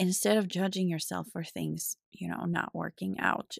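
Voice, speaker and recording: The speaker has a Finnish accent and talks at a fairly slow pace. The recording is very clean with a silent background, dry and close with no echo. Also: woman. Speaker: podcast host and life coach. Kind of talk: solo podcast monologue.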